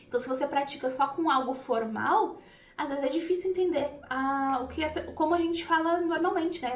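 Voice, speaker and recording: A woman with a Brazilian accent at a fairly quick pace, with audible room echo and noticeable background noise. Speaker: language teacher. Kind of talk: tutorial. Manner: casual, with hesitations.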